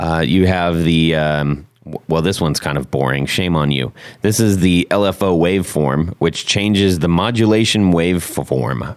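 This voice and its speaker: With noticeable background noise, a man speaks in a very deep, low pitch with hardly any pauses. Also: ordinary pitch variation, moderate pace. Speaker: podcast host. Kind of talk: casual interview chat.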